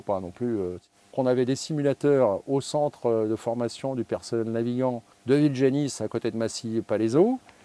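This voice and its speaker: This man's voice sits at a medium pitch with a dark, mellow tone. The sound is dry and close, with no echo. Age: 60s. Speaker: airline pilot. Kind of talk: interview. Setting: aircraft cockpit. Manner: hesitant with frequent fillers.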